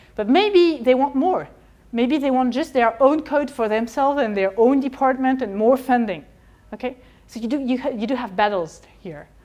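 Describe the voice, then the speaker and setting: A woman with a French accent speaks at a moderate pace in a high pitch with lively intonation. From France. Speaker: historian of economics; lecturer. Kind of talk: lecture. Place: classroom.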